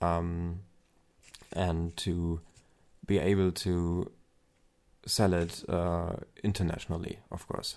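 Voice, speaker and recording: Very slow and broken by long, frequent pauses, a man with a German accent speaks at a very deep, low pitch in a dark, mellow tone with flat, monotone intonation. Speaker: aspiring novelist and vlogger. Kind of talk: casual vlog monologue. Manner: hesitant, many fillers.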